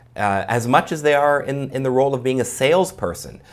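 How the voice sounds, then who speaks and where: A man with a Canadian accent talks at a medium pitch. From Canada, Vancouver. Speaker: sales trainer. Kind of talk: casual interview. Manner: animated.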